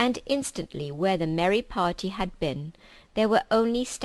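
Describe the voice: This is plain reading aloud. The delivery is plain reading aloud throughout.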